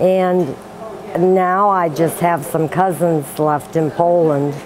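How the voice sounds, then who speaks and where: A woman with an American accent speaks in a very deep, low voice with fairly even intonation. Noticeable background noise is present. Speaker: church volunteer. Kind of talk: interview.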